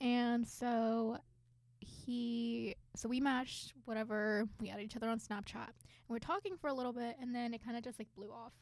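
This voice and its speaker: A woman with a plain, everyday voice talks at a moderate pace in a fairly high pitch, with fairly even intonation and big swings in loudness. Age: 20s. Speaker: podcast co-host. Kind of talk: casual chat. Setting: studio.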